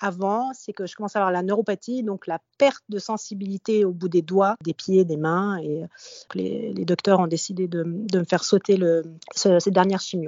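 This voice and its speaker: A woman's unremarkable speaking voice, medium in pitch, with ordinary pitch variation and a moderate pace. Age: 40s. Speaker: podcast host sharing breast cancer experience. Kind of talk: casual chat, personal testimony. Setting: remote call with co-host.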